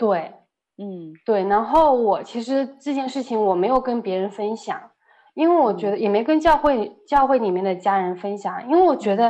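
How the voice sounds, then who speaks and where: A woman with a fairly high pitch speaks at a moderate pace with lively intonation against a quiet background. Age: 30s. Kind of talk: testimony. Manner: halting, many fillers.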